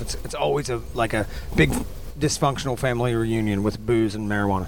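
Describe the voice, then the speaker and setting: Someone talks at a very fast pace with an American accent. Noticeable background noise is present. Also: man. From West Virginia. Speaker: rock band musician. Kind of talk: casual interview. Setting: at a rock festival.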